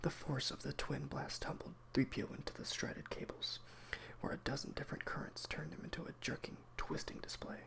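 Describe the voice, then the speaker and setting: Whispering at a moderate pace, the speaker delivers the words. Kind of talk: audiobook reading. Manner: soft-spoken.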